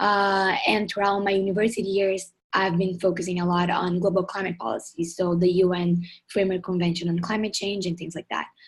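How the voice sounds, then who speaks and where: Monotone, flat intonation from a woman at a fairly quick pace. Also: medium pitch for a woman. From southern Brazil, Porto Alegre. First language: Portuguese. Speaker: climate activist, project founder. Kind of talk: webinar presentation. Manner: fast.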